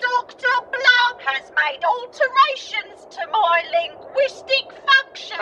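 A put-on character voice in a Cockney accent drawls at a very slow pace over clear background noise. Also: female-sounding voice, extremely high pitch for a woman. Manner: calm, robotic.

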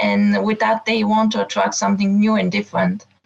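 A woman speaks with a non-native accent. There is noticeable background noise. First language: not English. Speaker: coaching caller. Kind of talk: coaching call. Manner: halting, many hesitations.

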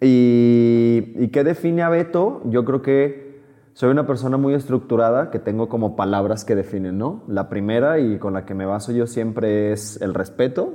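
Using an ordinary speaking voice, a man of medium pitch speaks at a fairly slow pace with ordinary pitch variation. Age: 30s. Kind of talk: interview.

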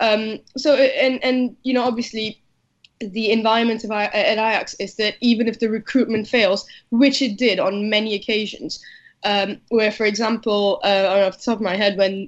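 Fairly even intonation at a moderate pace. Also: woman. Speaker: football writer. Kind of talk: panel discussion. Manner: halting, filler-heavy.

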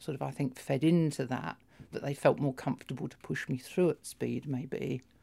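Her voice sits very deep and low, with a dark, mellow tone and vocal fry. The woman talks at a fairly slow pace. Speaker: intersex transgender patient. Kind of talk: personal testimony.

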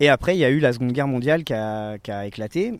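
A man's medium-pitched voice at a fairly quick pace with lively intonation, on a very clean recording with a silent background. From France, Besançon. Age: 30s. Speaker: popular education trainer. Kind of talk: interview. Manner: halting, with repeated fillers.

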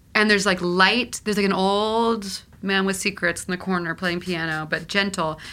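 With an American accent, a woman speaks at a moderate pace and medium pitch, her tone bright and sharp and her intonation fairly even, in a very clean recording with a silent background. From Texas, Houston. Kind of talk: casual chat. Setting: apartment.

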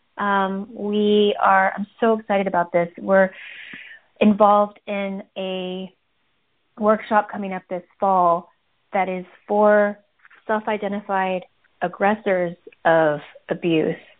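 With an American accent, a woman at medium pitch talks at a very slow pace, with long, frequent pauses. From Minnesota, US Midwest. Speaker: trauma survivor and nonprofit leader. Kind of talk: interview, personal testimony. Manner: hesitant, many fillers.

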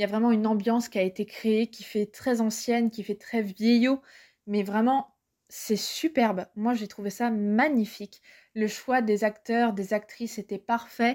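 In a very clean recording with a silent background and a dry, close sound with no echo, a woman speaks at a very slow pace with a fairly high pitch. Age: 20s. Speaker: book and culture blogger. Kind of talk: recorded review monologue.

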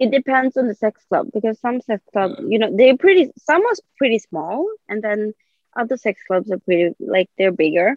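With lively intonation, a woman speaks at a moderate pace and a fairly high pitch. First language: Swedish. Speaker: podcast guest. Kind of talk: casual interview.

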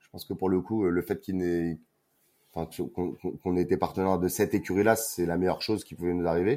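Over a silent background in a very clean recording, a man speaks fairly quickly in a very deep, low pitch with a dark, mellow tone. His intonation stays fairly even while his loudness swings widely. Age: 30s. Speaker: brand marketing manager. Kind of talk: interview.

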